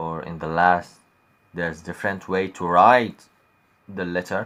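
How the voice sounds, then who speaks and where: A man with an Arabic accent speaks at a moderate pace in a very deep, low voice. The recording is very clean with a silent background. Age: young. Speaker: YouTuber teaching Arabic. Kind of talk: casual vlog talk to viewers. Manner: halting, hesitant.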